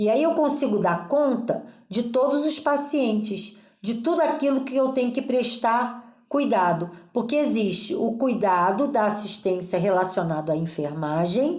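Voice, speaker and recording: A woman's fairly high pitch with very wide pitch swings and very even loudness at a fairly slow pace, with audible room echo. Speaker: nursing teacher. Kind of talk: lecture.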